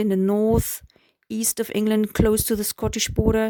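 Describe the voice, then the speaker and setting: A woman with a German accent speaks in a fairly high pitch, her tone dark and mellow. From Germany. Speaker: vlogger. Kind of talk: personal storytelling. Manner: hesitant, with fillers.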